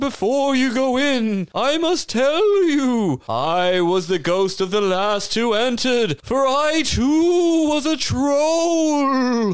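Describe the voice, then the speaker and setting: A man puts on a character voice at an extremely high pitch. He speaks at a very slow pace with hardly any pauses. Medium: actual play. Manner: playful and crude, then spooky warning.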